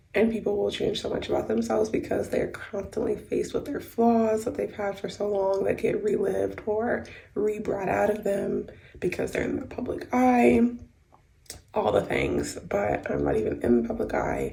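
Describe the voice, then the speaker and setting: The room gives the voice an audible echo. A woman speaks at a moderate tempo. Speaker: vlogger. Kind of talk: casual vlog.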